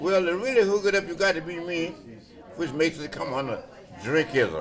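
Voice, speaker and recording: A man with an American accent and a high pitch, talking at a fairly quick pace with lively intonation over noticeable background noise. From South Carolina. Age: 80s+. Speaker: blues musician. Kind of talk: interview answer.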